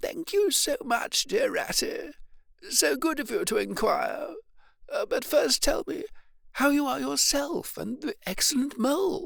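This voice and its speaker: In a put-on character voice pitched extremely high, a man talks at a fairly slow pace. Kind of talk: refined, old-fashioned. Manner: weak, overly polite, putting on an act.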